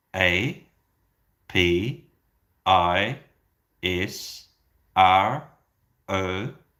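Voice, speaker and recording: In a put-on character voice, a man growls out very deep, low, raspy tones with ordinary pitch variation, captured in a very clean recording against a silent background. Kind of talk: instructional demonstration. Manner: slow and evenly paced, pausing between letters.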